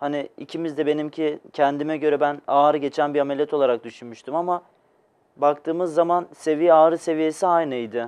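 The man's pitch is fairly high, and his pace is moderate. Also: fairly even intonation. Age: 20s. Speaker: patient, electrical technician. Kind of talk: TV interview, personal testimony. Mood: calm, modest. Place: studio.

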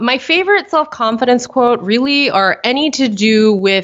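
A woman speaks with an American accent in a normal speaking voice. Her intonation is lively. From US, suburbs of Philadelphia. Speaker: animal photographer. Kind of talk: interview.

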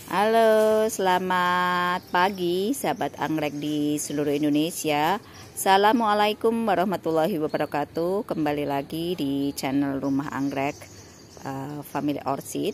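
A woman speaks at a fairly slow pace in a very deep, low pitch with ordinary pitch variation. The sound is dry with no echo, over light background noise. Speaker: orchid seller. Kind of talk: sales pitch. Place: garden. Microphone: phone near.

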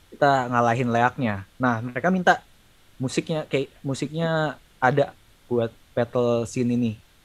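This man has an ordinary speaking voice, talking at a fairly slow pace with medium pitch and ordinary pitch variation. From Indonesia. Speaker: sound designer and lecturer; lecturer. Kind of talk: casual chat. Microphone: video call.

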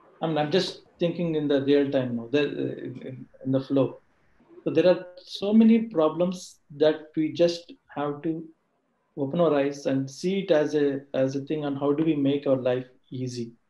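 Audible room echo surrounds a man speaking at a fairly slow pace. His fairly high voice has a dark, mellow tone and ordinary pitch variation. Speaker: colleague of speaker, answering audience questions; speaker. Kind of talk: talk / webinar presentation. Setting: video call webinar. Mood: motivational, earnest. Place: home room. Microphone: video call.

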